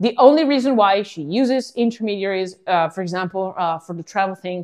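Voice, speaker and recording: With an Italian accent, a woman speaks at a moderate pace with lively intonation. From Italy. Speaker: podcast host, startup founder. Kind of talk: casual monologue podcast. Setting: at home.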